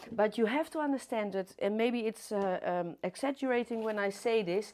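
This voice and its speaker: With a Dutch accent, a woman speaks at a fairly high pitch and a moderate pace, using ordinary pitch variation over a quiet background. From Netherlands. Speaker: florist teacher. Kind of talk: live demonstration tutorial. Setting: livestream studio. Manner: hesitant, many fillers.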